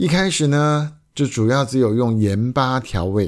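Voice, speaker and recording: Over a silent background in a very clean recording, a man uses a normal speaking voice, talking at a fairly slow pace with lively intonation. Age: 50s. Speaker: podcast host. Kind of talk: solo podcast monologue.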